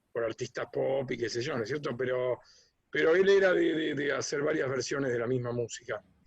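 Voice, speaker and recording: A man at medium pitch talking at a fairly quick pace. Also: ordinary pitch variation. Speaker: musician and arranger. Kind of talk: interview. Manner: hesitant, many fillers.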